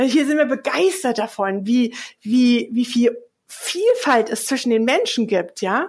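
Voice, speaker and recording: A woman speaks at a fairly slow pace in a high voice, recorded very cleanly against a silent background. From Hesse, Germany. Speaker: communication coach. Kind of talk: interview.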